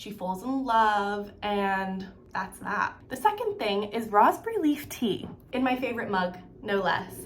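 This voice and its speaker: Audible room echo surrounds a woman speaking at a fairly slow pace with a fairly high pitch. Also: ordinary pitch variation. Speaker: beauty and lifestyle vlogger. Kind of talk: casual chat. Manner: casual, chatty with many fillers.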